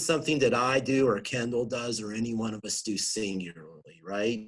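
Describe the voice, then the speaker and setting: A man with a Pennsylvania accent. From Southwestern Pennsylvania. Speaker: regional planning director. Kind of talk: interview.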